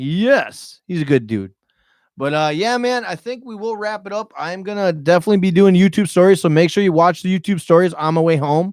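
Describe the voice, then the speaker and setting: A man speaks loudly at a high pitch and a fairly quick pace. His pitch variation is ordinary, and the recording is very clean with a silent background. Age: 30s. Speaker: YouTuber and podcast host. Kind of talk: live podcast chat. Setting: studio, live-streamed podcast. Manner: animated.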